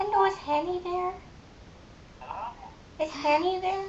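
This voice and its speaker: Over clear background noise, a woman uses a put-on character voice that is squeaky and extremely high. She keeps a moderate pace with fairly even intonation. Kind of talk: prank call put-on voice. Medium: game stream. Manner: stiff, formal phrasing.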